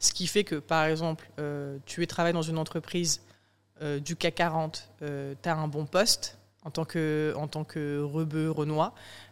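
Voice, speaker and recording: In a very clean recording with a silent background, a woman speaks with a very deep, low pitch, monotone, flat intonation and a fairly slow pace. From France, rural Vaucluse. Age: 20s. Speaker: journalist and author. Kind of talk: interview. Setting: studio.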